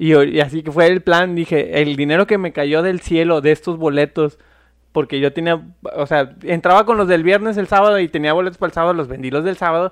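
Against a quiet background, a man with a high pitch speaks at a fairly quick pace with fairly even intonation and a dry, close sound with no echo. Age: 30s. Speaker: podcast co-host. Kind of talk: casual chat.

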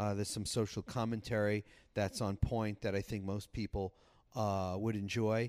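Here a man talks at a fairly quick pace in a fairly low voice, an unremarkable speaking voice. The recording is very clean, with a silent background. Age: 50s. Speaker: podcast guest. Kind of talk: casual chat. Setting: on location at a lakeside hotel.

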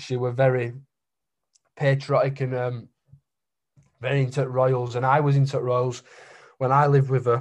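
A man speaks at medium pitch in a flat monotone. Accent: strong Yorkshire. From Keighley, West Yorkshire, England. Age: 20s. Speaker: painter. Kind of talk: casual interview chat. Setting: in-person or call at mother-in-law's house in Reading. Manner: casual, rambling, informal.

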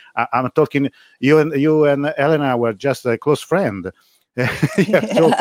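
A man with an Italian accent speaks at a fairly slow pace and fairly high pitch. His lively intonation sounds dry and close, with no echo. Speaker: live stream host. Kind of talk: live stream interview.

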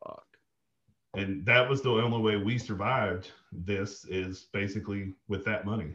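Speaking at a moderate pace with a Southern US accent, a man keeps a fairly low pitch and fairly even intonation. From Arkansas. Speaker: army veteran, oil and gas manager. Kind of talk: casual chat.

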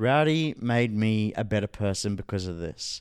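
In a very clean recording with a silent background, a man speaks at a moderate pace with a fairly low pitch and an Australian accent. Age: 30s. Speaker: NFT entrepreneur and event host. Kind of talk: interview. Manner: animated.

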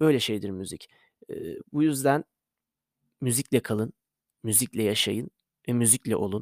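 Very clean audio with a silent background captures a man. He talks at a moderate pace with ordinary pitch variation. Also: dry, close sound with no echo. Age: 20s. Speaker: podcaster and amateur musician. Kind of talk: casual monologue.

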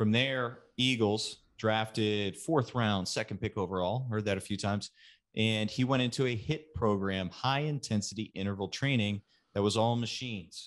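With an ordinary speaking voice, a man talks at a fairly slow pace in a fairly low pitch with ordinary pitch variation, and the background is quiet. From Texas, Katy near Houston. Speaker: strength and conditioning coach. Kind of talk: casual interview.

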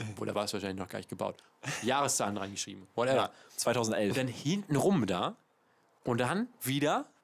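A medium-pitched man talks at a fairly quick pace in an animated tone, with very wide pitch swings. He leaves long, frequent pauses. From Hamburg. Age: 20s. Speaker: podcast host. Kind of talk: casual chat. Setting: outdoors.

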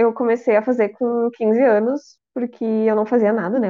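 At a moderate pace, a woman talks with fairly even intonation and a fairly high pitch. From Rio Grande do Sul, Brazil. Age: 30s. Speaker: podcast co-host. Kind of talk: casual chat.

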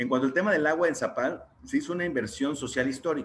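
A man with a plain, everyday voice, a fairly quick pace and fairly even intonation. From Mexico, León, Guanajuato. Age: 30s. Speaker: municipal legal official. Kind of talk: interview. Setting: video call.

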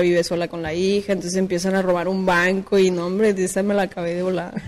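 A woman at medium pitch, talking at a fairly quick pace. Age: 20s. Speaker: rapper. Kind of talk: casual chat.

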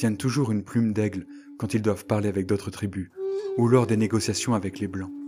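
The man's voice is fairly low in pitch, with a gentle, dramatic tone that is also dark and mellow. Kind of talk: storytelling, scripted-style folk tale narration. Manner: animated storyteller, lively and expressive; voices characters, with a gentle, dramatic delivery.

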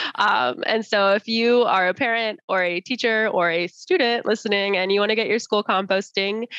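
At a moderate pace and medium pitch, a woman with an unremarkable speaking voice talks with ordinary pitch variation in a dry, close sound with no echo. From Arizona, US (Tucson, Chandler, Tempe). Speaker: nonprofit founder. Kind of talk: interview.

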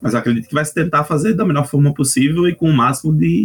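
A man speaks at a very fast pace in a northeastern Brazilian accent. His intonation is lively. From Northeast Brazil. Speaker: RPG translator. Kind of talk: casual chat.

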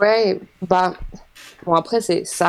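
A woman talks in an unremarkable speaking voice. Her pace is fairly slow, and her pitch varies in an ordinary way. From Île-de-France, France. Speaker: creator of a social media project on women. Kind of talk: casual interview chat.

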